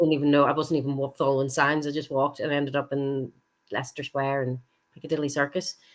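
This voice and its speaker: A woman with a Northern Irish accent, a very deep, low pitch and a very fast pace. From Northern Ireland. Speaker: stage actress. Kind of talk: podcast interview answer. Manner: enthusiastic.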